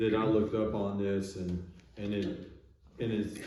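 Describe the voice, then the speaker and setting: A man talks at a fairly low pitch. Audible room echo surrounds his voice. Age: 60s. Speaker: physician, podcast host. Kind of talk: casual discussion.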